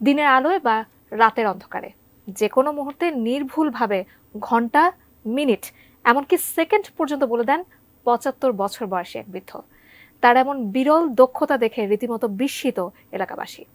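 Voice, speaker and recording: In a dry, close sound with no echo, a woman speaks at a high pitch with lively intonation. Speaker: news anchor. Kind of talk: TV news intro.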